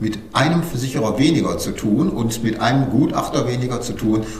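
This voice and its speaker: Noticeable background noise and audible room echo surround the recording. A man speaks at a medium pitch. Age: 50s. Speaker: insurance broker. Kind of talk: interview.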